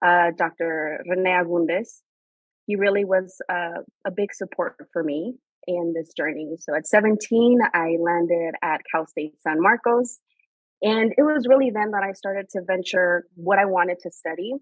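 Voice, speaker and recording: Her pitch is medium and her pitch variation ordinary. This woman speaks with a Spanish accent at a moderate pace. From Mexican border region, Mexicali, Baja California. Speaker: higher education leader. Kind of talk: podcast interview.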